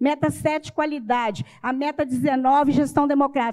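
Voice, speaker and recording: A woman is speaking. Her pitch is high. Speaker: education council member, panelist. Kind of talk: conference presentation with slides. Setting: seminar panel, live-streamed. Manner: fast.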